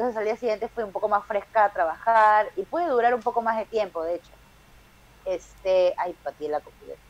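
At a fairly quick pace, a woman with a fairly high pitch talks in an unremarkable speaking voice, her pitch varying in an ordinary way. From Peru. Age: 30s. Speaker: stand-up comedian. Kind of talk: casual chat.

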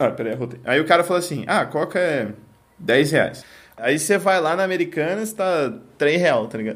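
With lively intonation, a man in a normal speaking voice talks at a moderate pace and a fairly high pitch. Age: 20s. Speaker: podcast host. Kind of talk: casual chat.

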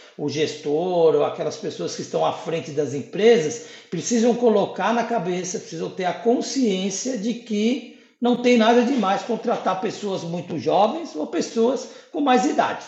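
Over noticeable background noise and audible room echo, a high-pitched man talks at a fairly slow pace with lively intonation. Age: 50s. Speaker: sales coordinator. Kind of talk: interview.

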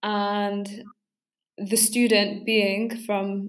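In a London accent, a woman talks at a medium pitch with monotone, flat intonation. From northwest London. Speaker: university student. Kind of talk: casual chat.

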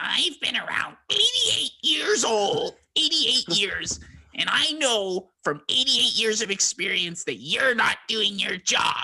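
In a put-on character voice, a man speaks at an extremely high pitch and a very slow pace, with hardly any pauses. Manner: scolding, complaining.

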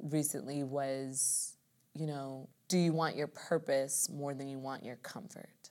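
A woman speaks in a very deep, low pitch with a dark, mellow tone and monotone, flat intonation. Her pace is fairly slow, and her loudness swings widely. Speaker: musical theater dancer and performer. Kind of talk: casual interview chat. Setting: recording room.

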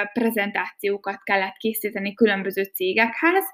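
A woman keeps a moderate pace while noticeable noise carries on behind her. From Hungary, Békéscsaba. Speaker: podcaster. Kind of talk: casual monologue. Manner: hesitant, many fillers.

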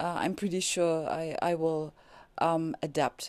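Very deep, low woman's voice with a non-native accent, dark, mellow tone, very slow pace and a dry, close sound with no echo. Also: quiet background. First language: German. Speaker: podcaster on spirituality. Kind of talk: casual monologue. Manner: halting, many fillers.

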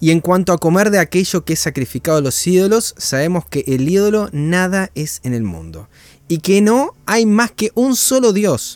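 A man speaks at a moderate pace with a Rioplatense accent. His high-pitched voice has lively intonation. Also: dry, close sound with no echo. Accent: Argentine Rioplatense Spanish. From Argentina. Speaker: Bible study co-host. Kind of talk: online Bible study. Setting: livestream. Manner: talkative.

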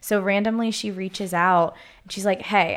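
A woman with an American accent speaks at a fairly quick pace with fairly even intonation, in an unremarkable speaking voice. Her pitch is medium, and the recording is very clean with a silent background. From Pittsburgh, US. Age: 20s. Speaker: skincare entrepreneur. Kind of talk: casual interview.

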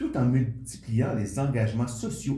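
A man speaks in a dark, mellow tone that is somewhat breathy. His pace is fairly slow, and audible room echo surrounds him. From Quebec. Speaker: podcast host. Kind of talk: interview; scripted narration.

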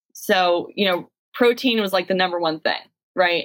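A woman talks at a moderate pace, using an ordinary speaking voice and fairly even intonation. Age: 30s. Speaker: physical education teacher. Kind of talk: casual chat.

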